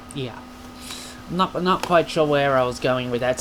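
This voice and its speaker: Noticeable background noise is present as a man speaks. His voice is fairly high, with ordinary pitch variation. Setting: home video recording to camera. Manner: animated, jokey, with fillers.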